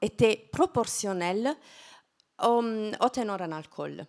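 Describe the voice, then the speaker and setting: Against a very clean recording with a silent background, a woman with a fairly high pitch speaks at a very slow pace with lively intonation. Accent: Italian. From southern Italy, Apulia. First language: Italian (speaking French). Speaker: wine science researcher. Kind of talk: lecture. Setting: stage with audience. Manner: halting, many hesitations.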